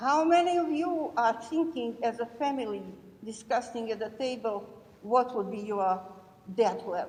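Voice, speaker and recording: A woman with a European accent, lively intonation and a moderate pace. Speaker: audience member asking a question. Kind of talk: audience question at panel.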